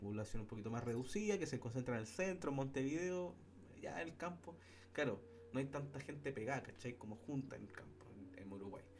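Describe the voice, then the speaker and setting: Noticeable background noise sits behind a man talking at a fairly quick pace. His medium-pitched voice swings very widely in pitch. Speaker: podcast co-host. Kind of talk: casual chat.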